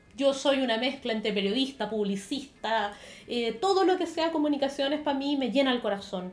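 Her voice high and her intonation lively, a woman talks at a fairly quick pace. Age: 30s. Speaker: podcast co-host, beauty influencer. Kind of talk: casual chat.

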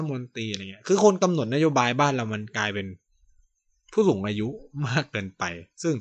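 Here is a man's voice at medium pitch. It moves through very wide pitch swings. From Thailand. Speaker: podcast host. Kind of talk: solo podcast monologue. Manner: casual, halting with fillers.

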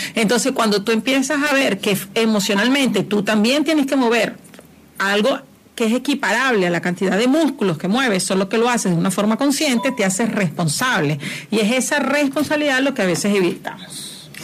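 A woman with a fairly high voice talks at a fairly quick pace with lively intonation and very even loudness over noticeable background noise. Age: 40s. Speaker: spiritual mentor. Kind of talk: casual chat.

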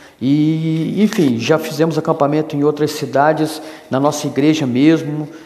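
A man talks at a fairly slow pace in a fairly high pitch, with noticeable background noise around him. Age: 50s. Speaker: youth pastor. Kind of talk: solo podcast monologue.

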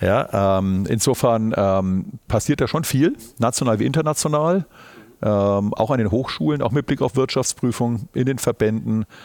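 A plain, everyday voice carries lively intonation. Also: man. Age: 50s. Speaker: auditor and managing partner. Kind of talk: podcast interview. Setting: university recording on site.

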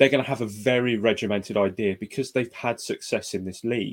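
A man with a plain, everyday voice talks at a fairly quick pace and a medium pitch. His pitch varies in an ordinary way, and the sound is dry and close with no echo. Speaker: producer and co-host. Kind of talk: casual chat about football.

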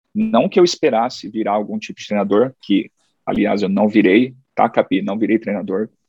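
Very wide pitch swings from a man talking at a fairly quick tempo. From Mogi das Cruzes, São Paulo, Brazil. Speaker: group fitness instructor. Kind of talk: casual chat.

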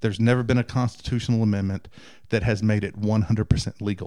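A voice in a Southern US accent moves at a fairly quick pace with monotone, flat intonation and a dark, mellow tone. The recording is very clean, with a silent background. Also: man. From Texas. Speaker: IT engineer. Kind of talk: casual chat.

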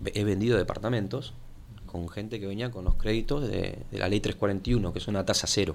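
A man with a Rioplatense accent talks at a fairly quick pace in a fairly low pitch. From Buenos Aires, Argentina. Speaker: local political activist. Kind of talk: interview. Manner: halting.

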